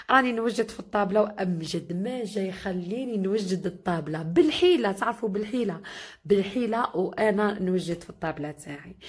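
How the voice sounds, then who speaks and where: A woman's somewhat breathy, medium-pitched voice at a moderate pace, with hardly any pauses and big swings in loudness. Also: ordinary pitch variation. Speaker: cooking vlogger. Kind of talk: cooking tutorial. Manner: chatty, addresses viewers warmly.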